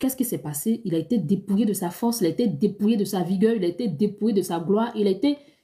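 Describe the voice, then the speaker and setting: A woman's somewhat breathy voice, dark and mellow in tone, at medium pitch with ordinary pitch variation and a fairly quick pace. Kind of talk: live stream Q&A, dream interpretation. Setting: live stream. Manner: fast.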